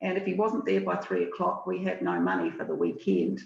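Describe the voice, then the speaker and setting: In a New Zealand accent, a woman talks at a fairly quick pace with vocal fry and very wide pitch swings. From southern New Zealand. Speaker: financial services relationship manager. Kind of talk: webinar presentation. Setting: video call webinar. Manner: hesitant, many fillers.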